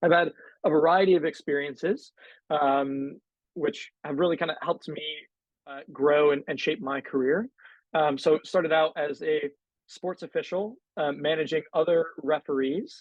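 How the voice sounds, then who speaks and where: This man has an ordinary speaking voice with an American accent, talking at a moderate pace with a fairly high pitch and ordinary pitch variation. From US Northeast, Connecticut. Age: 20s. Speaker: panel moderator. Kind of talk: panel discussion.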